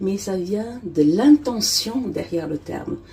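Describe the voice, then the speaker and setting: A woman speaks at a very slow pace in a dark, mellow tone with a medium pitch. Her voice is somewhat breathy, and her intonation is lively. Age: 40s. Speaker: romance novelist and editor. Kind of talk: casual talk to camera, personal vlog. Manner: hesitant, many fillers.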